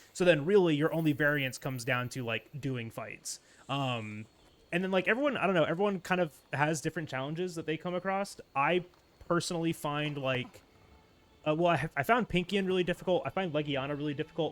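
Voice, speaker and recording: Over music in the background, a man with a fairly high pitch talks in an animated tone. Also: ordinary pitch variation, fairly quick pace. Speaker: video game streamer. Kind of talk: live gaming stream chat. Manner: fast.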